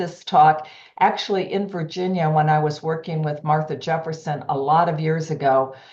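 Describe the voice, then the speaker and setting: Fairly quick speech with fairly even intonation and audible room echo. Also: woman. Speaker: healthcare executive and cardiology society president. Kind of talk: lecture. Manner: fast.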